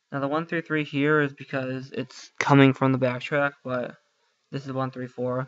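Mumbling male voice of medium pitch, moderate in pace, monotone and flat in intonation, with big swings in loudness. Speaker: student making IT tutorials. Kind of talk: screen-recorded tutorial. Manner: mumbling under breath; halting, many fillers.

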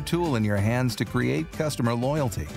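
Music plays in the background. The speaker has lively intonation and a moderate pace. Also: man. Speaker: voice actor. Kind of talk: corporate training narration.

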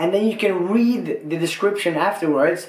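A man speaks in a high pitch and an animated tone at a fairly slow pace. The background is quiet, though room echo is audible. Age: 30s. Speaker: YouTuber. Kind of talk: casual explainer video.

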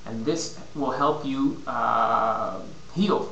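There is audible room echo around this man's voice. Light background noise can also be heard. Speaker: fitness and nutrition consultant. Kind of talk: casual vlog advice. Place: home room. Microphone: webcam.

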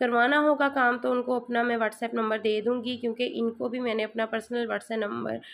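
Her voice is fairly high, with monotone, flat intonation. The woman keeps a moderate pace with hardly any pauses. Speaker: sewing tutor and tailor; sewing tutor. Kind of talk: unboxing vlog. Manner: chatty, conversational. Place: home room. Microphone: phone near.

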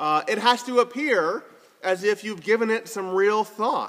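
A man's voice at a moderate pace. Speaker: preacher. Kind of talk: sermon. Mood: warm, lightly humorous. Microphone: phone near.

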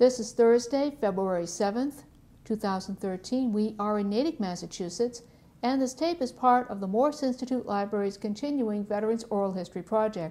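The voice has a dark, mellow tone, ordinary pitch variation, and a fairly quick pace. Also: woman, fairly high pitch for a woman. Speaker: oral history interviewer. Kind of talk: interview questions. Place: meeting room.

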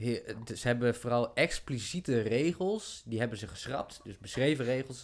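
A man talks in an unremarkable speaking voice at a medium pitch. His pace is moderate and his pitch varies in an ordinary way. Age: 30s. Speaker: podcast host. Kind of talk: casual chat. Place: studio. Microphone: studio mic.

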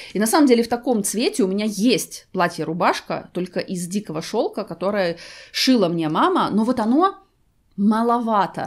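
An unremarkable speaking voice from a woman, fairly high-pitched, lively in intonation, at a moderate pace over a quiet background. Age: 40s. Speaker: fashion and beauty vlogger; beauty vlogger. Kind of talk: try-on haul video. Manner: conversational. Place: home room.

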